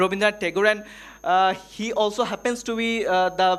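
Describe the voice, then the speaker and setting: Moderate-paced speech with a Bengali accent, on a very clean recording with a silent background. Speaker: workshop presenter. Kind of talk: conference presentation. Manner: halting, many fillers.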